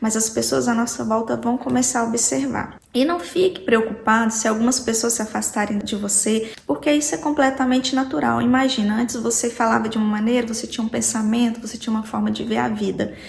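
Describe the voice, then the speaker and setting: Soft-spoken and fairly high in pitch, a woman talks at a fairly quick pace with hardly any pauses and ordinary pitch variation, over noticeable background noise. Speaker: self-help youtuber. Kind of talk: motivational talk. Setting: home recording. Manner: moderate volume.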